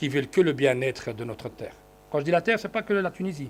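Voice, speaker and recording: A man talks at a very fast pace with a Dutch accent. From Belgium (Brussels, Flemish). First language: Dutch (speaking French). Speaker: politician. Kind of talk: conference speech. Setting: conference hall with audience. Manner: halting with many fillers.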